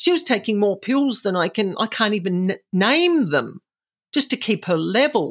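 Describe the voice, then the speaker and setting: Fairly high in pitch, a woman with an Australian accent talks at a moderate pace with very wide pitch swings. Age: 50s. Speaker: psychic and paranormal house cleanser. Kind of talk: interview, storytelling. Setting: remote interview.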